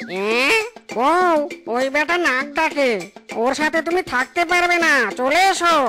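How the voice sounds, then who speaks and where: A cartoonish character voice talks at a fairly slow pace. Music plays clearly in the background. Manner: whiny, quick to anger.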